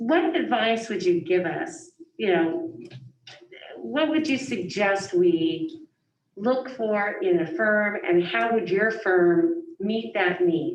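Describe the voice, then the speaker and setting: A loud woman at a very slow pace, with very wide pitch swings and audible room echo. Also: fairly high pitch for a woman. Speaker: school board member and teacher. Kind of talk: board meeting questions.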